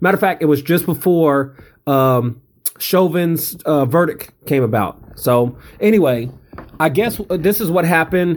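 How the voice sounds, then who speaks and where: In an ordinary speaking voice, a man talks at a moderate pace with fairly high pitch, ordinary pitch variation and very even loudness. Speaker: news segment contributor. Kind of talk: commentary.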